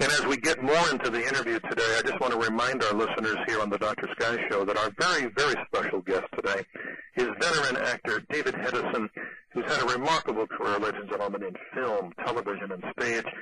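A man with an American accent, medium pitch and ordinary pitch variation, talking at a very fast pace over noticeable background noise. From New York City. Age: 50s. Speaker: radio host. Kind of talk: radio interview.

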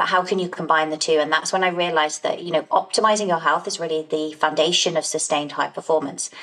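Noticeable background noise surrounds a woman speaking at a very fast pace. Her pitch is fairly low and her intonation fairly even. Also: hardly any pauses. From England, Essex. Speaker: health coach, former lawyer. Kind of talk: interview.

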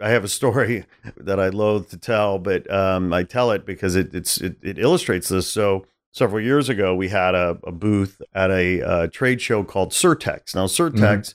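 In a very clean recording with a silent background, a man with a fairly low pitch and a normal speaking voice shows ordinary pitch variation. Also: moderate pace. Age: 40s. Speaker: podcast host. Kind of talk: casual chat.

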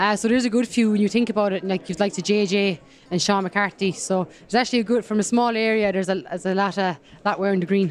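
Speech comes at a very fast pace in a Kerry accent. Pitch varies in an ordinary way. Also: woman, medium pitch for a woman. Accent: Kerry Irish. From County Kerry, Ireland. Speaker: women's rugby player. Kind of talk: interview.

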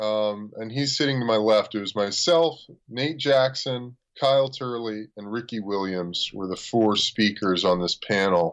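A man with an American accent and a normal speaking voice, medium-pitched with ordinary pitch variation, at a fairly slow pace. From US, Los Angeles. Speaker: former pro football player. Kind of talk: casual chat.

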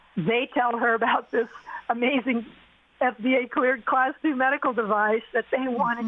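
A woman speaks at a fairly high pitch with fairly even intonation over noticeable background noise. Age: 60s. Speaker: cancer survivor and entrepreneur. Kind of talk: testimony.

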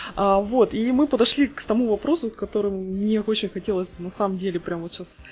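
A woman talks at a very fast pace with a fairly high pitch. Noticeable background noise runs under her voice. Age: 30s. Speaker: podcast host, software tester. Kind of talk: casual chat.

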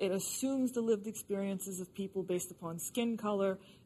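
Somewhat breathy and dark, mellow in tone, a woman speaks at a moderate pace. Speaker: political commentator. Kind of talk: panel discussion. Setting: studio with audience.

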